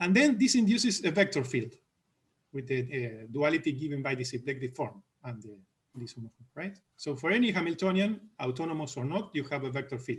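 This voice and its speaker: Somewhat breathy, a man speaks with a fairly high pitch at a fairly quick pace. His intonation is lively and his loudness swings widely. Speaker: mathematician. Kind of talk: academic Q&A discussion. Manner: halting, many false starts.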